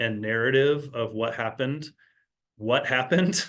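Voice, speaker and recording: This man has an unremarkable speaking voice, medium in pitch, and talks at a fairly slow pace. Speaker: community management director giving board training. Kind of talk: online training presentation.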